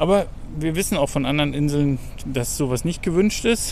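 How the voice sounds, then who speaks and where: A normal speaking voice at a moderate pace, with lively intonation. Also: man. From Germany. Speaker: travel podcast host. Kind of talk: casual chat. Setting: outdoors.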